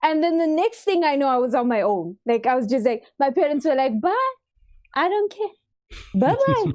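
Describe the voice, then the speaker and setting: A woman with a Durban accent speaks at a moderate pace and very even loudness. Her high-pitched voice is animated in tone, with very wide pitch swings. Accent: Durban South African. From South Africa, Durban. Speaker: content creator and streamer. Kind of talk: casual chat. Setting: live-streamed podcast.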